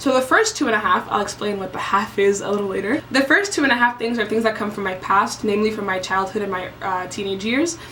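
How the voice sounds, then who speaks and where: A woman speaks at a very fast pace with a fairly high pitch and ordinary pitch variation. Noticeable background noise is present. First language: French and Basa. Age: 20s. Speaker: vlogger. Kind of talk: casual vlog monologue.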